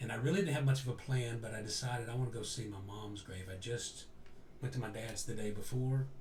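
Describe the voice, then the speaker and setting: Somewhat breathy and medium in pitch, a man talks at a very fast pace with audible room echo around him. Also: ordinary pitch variation. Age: 60s. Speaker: interview guest. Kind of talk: personal storytelling in an interview. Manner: halting, with frequent self-corrections.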